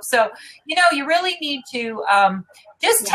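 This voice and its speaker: A woman's plain, everyday voice with lively intonation, at a moderate pace. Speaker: interview host and marketing business founder. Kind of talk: live interview broadcast. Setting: live online video broadcast.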